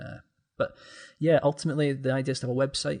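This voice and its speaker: A man speaks very fast with a Scottish accent, his somewhat breathy voice held to a flat, monotone intonation. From Scotland, Aberdeen. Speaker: gaming content creator, podcast guest. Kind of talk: casual chat.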